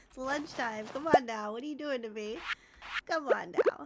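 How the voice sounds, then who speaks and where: A soft-spoken woman with a high pitch, ordinary pitch variation and a moderate pace, amid noticeable background noise. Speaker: Twitch streamer. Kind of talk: casual livestream talk to chat. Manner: soft-spoken, friendly.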